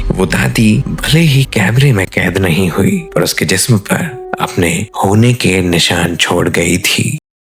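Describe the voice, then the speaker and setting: This man has a very deep, low pitch and lively intonation. His loudness is very even, with noticeable background noise. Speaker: horror storyteller. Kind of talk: horror story narration.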